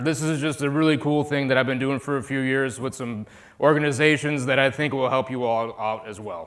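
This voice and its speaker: Audible room echo surrounds a man talking in an American accent. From US Midwest, Chicago. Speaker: conference speaker, DevOps consultant. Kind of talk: conference talk. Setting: stage with audience. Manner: animated.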